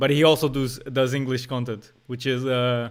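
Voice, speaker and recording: On a very clean recording with a silent background, a man with a Portuguese accent speaks at a moderate pace in a monotone, flat intonation. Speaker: day trader and streamer. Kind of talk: live stream commentary. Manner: casual, slangy.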